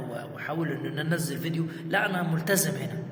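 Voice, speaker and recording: With an Egyptian accent, a man with fairly high pitch talks at a moderate pace amid noticeable background noise and audible room echo. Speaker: content creator. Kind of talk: casual vlog talk. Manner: halting, many repetitions; raising voice to be heard.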